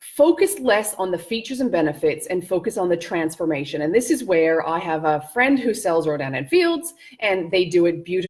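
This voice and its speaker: A woman with a plain, everyday voice and a Canadian accent, medium pitch, a fairly quick pace and hardly any pauses. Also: lively intonation. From Canada. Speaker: business and life coach. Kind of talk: live-stream masterclass. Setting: live video stream.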